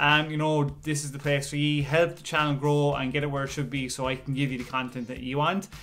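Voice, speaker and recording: With faint music in the background, a man speaks at a fairly quick pace in a monotone, flat intonation. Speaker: channel host. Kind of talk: casual vlog chat. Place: home room. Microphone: phone near.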